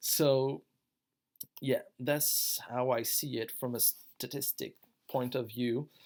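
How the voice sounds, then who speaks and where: In a French accent, a man speaks very slowly at a medium pitch, with monotone, flat intonation and long, frequent pauses. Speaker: online gaming guild member. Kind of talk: tutorial. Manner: casual, slightly halting.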